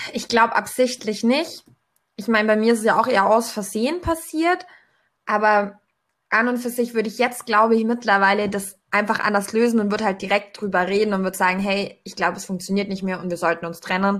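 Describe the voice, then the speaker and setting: In a very clean recording with a silent background, a woman with an unremarkable speaking voice talks fairly quickly, with a fairly high pitch and ordinary pitch variation. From Allgäu, southern Germany. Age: 20s. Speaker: podcast guest. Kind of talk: casual chat.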